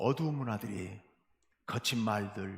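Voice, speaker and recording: His voice is somewhat breathy, and the man's pitch swings very widely as he talks. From South Jeolla, Korea (Beolgyo/Suncheon). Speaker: pastor. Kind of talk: sermon. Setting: church. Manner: formal.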